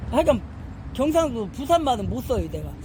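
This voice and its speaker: Fairly quick pace against noticeable background noise. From Korea, Chungcheong province. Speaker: Bible study teacher. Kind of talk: Bible study lecture. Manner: conversational, with many fillers and hesitations.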